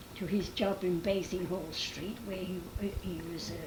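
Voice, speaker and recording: A woman's medium-pitched voice at a fairly slow pace, with noticeable background noise. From London, England. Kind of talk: interview answer.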